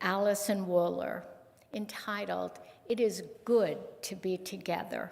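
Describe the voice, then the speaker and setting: Vocal fry at a very slow pace, with audible room echo. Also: woman. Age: 70s. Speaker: lay worship associate. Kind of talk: worship service reading. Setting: church service. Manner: halting, with fillers.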